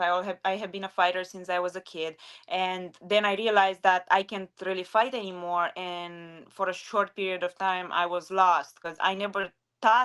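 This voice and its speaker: A woman speaks with a strong non-native accent on a very clean recording with a silent background. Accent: strong foreign. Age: 20s. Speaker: retired MMA fighter and sports analyst. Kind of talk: interview.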